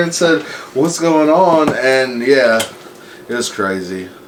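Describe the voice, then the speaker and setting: A man with an American accent at a moderate pace, with very wide pitch swings, audible room echo and noticeable background noise. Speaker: comedian. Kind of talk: casual chat.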